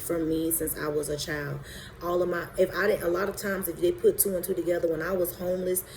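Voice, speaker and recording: Over noticeable background noise, a woman with a fairly low pitch speaks fairly quickly in a monotone, flat intonation. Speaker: abuse survivor telling her story. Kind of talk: personal testimony monologue. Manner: halting, many fillers; emphatic, preaching.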